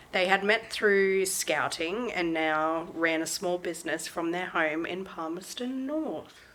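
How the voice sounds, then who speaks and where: With an Australian accent, a woman speaks at a fairly slow pace and fairly low pitch, with ordinary pitch variation and hardly any pauses. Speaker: true crime podcast host. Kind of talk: casual chat. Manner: animated.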